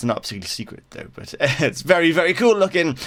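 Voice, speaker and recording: Speech from a man comes out at a very fast pace. Behind him, background noise is noticeable. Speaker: gaming YouTuber. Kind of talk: game server tour commentary. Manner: casual, hesitant with fillers.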